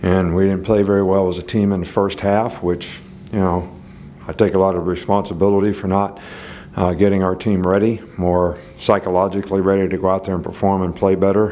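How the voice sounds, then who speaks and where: Speaking at a fairly quick pace, a man with a very deep, low pitch keeps a monotone, flat intonation. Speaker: head football coach. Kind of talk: press conference answer. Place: hall. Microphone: podium.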